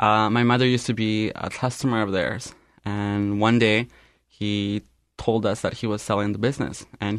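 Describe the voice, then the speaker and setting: Against a quiet background, a man with an unremarkable speaking voice talks at a fairly quick pace, fairly low in pitch and fairly even in intonation. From Canada. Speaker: restaurant owner. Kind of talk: radio interview. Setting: radio studio.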